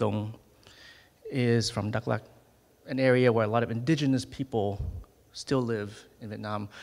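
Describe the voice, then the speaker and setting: Long, frequent pauses break up a man's moderate pace as he speaks at a medium pitch with fairly even intonation. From US South, North Carolina, Vietnamese family. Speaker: ethnomusicologist and musician. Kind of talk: gallery tour talk. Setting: museum exhibition tour with audience. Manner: casual, many fillers.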